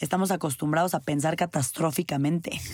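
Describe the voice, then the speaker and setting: In a very clean recording with a silent background, a woman with a fairly low voice speaks at a moderate pace and ordinary pitch variation. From Mexico. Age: 20s. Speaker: podcast host. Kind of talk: personal monologue.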